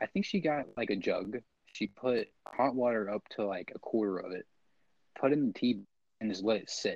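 Quiet and at a moderate pace, a man talks in a dry, close sound with no echo. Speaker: podcast co-host. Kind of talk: casual chat. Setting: home recording.

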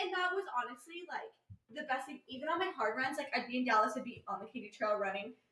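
In an American accent, the speaker talks very fast in a raised, projected voice, the tone bright, sharp, and animated. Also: woman, high pitch for a woman. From Kansas City, US Midwest. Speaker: amateur runner. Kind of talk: casual chat.

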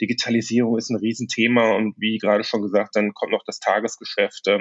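Monotone, flat intonation runs through a man's voice. His pace is very fast. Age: 50s. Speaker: management consultant, company founder. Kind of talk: interview conversation.

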